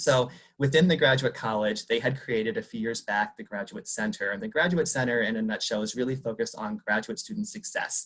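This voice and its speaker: The voice moves at a fairly quick pace with hardly any pauses. Its pitch swings very widely. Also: man, medium pitch for a man. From Arizona, Tucson. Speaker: university career development professional. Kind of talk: conference presentation. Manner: fast; animated.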